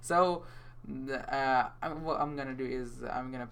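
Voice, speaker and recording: Speaking with a non-native accent, a man talks. His pace is very slow. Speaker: programming tutor. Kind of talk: coding tutorial screencast. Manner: casual, hesitant, many fillers.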